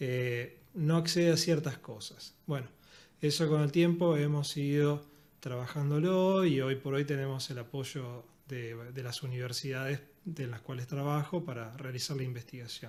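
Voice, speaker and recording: A man's fairly high voice in an Argentine accent, fairly slow and fairly even in intonation. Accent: Argentine Spanish (Rioplatense). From Argentina. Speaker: physiotherapist and university lecturer. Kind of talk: podcast interview.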